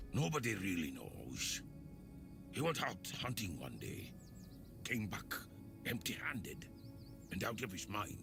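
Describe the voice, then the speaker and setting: A man's put-on character voice, fairly low in pitch and fairly slow, with long, frequent pauses and loud music in the background. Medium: video game. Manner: chatty, casual.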